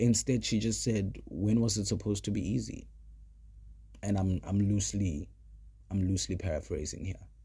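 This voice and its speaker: A man's fairly low, dark and mellow voice, somewhat breathy, with ordinary pitch variation, a moderate pace and long, frequent pauses. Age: 30s. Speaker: podcast host. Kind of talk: casual monologue.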